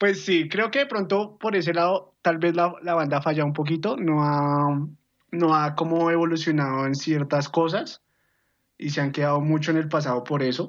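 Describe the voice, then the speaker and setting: A man's fairly high, normal speaking voice with ordinary pitch variation at a moderate pace against a quiet background. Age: 20s. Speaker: podcast guest. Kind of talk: casual chat.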